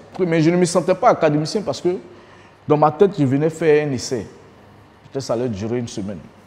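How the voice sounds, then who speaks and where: Very fast and with lively intonation, a man speaks in a dark, mellow tone. He takes long, frequent pauses. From Côte d'Ivoire, Abidjan (Adjamé). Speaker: former footballer. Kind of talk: documentary interview. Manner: casual, colloquial. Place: home room. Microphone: lapel.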